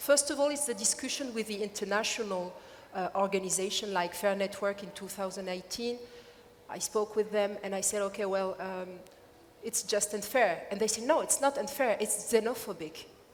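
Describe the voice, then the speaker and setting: Over noticeable background noise, a woman with a French accent speaks at a moderate pace in a medium pitch with ordinary variation. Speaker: activist. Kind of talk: panel discussion. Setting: stage with audience. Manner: halting.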